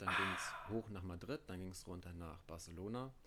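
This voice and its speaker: Very deep and low, a man's voice carries a bright, sharp tone. He keeps a moderate pace with ordinary pitch variation. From Mecklenburg, Parchim. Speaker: band tour crew and merch worker. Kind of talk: casual chat. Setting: at home.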